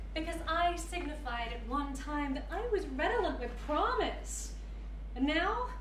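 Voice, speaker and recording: A woman speaks at a fairly slow pace. There is audible room echo and light background noise. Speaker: actor performing a monologue. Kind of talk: theatrical monologue. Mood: scornful, bitter. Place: hall.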